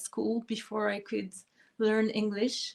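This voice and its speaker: Speaking fairly slowly, a woman with a French accent uses a fairly high pitch. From France. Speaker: pianist and harpist. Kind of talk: interview. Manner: hesitant, many fillers.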